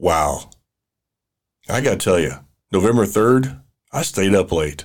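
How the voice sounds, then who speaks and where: A man speaks with an American accent and a vocal fry. His pitch swings very widely. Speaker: podcast host. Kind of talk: political commentary monologue. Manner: animated, excitable.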